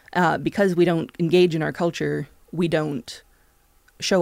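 In a Canadian accent, a woman uses an unremarkable speaking voice with a fairly low pitch and fairly even intonation. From Canada. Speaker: television critic. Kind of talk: casual chat.

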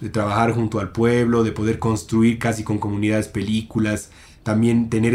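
A man speaks in a plain, everyday voice at a fairly low pitch. His pace is fairly quick. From Bolivia. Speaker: film director. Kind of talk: casual chat.

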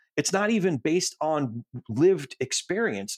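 A man with a fairly high pitch, an American accent and vocal fry swings very widely in pitch. The recording is very clean and dry, close with no echo, over a silent background. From US Northeast, New Jersey. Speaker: podcast host. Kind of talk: casual chat.

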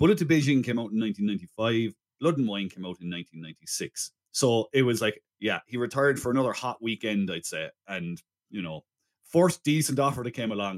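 Heard in a dry, close sound with no echo, a plain, everyday voice carries lively intonation. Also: man. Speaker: film podcast host. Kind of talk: casual chat.

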